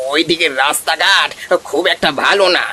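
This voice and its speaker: A man does a high-pitched, cartoonish character voice with fairly even intonation against clear background noise. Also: moderate pace. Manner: blunt, exasperated.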